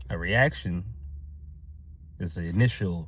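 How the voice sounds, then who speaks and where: A man talks with vocal fry. His pace is fairly slow. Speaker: motivational vlogger. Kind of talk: motivational talk to camera. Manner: loud; energetic.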